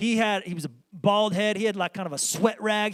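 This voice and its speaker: Squeaky and high-pitched for a man, his voice runs at a fairly quick pace. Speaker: pastor. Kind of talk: sermon. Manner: casual, conversational.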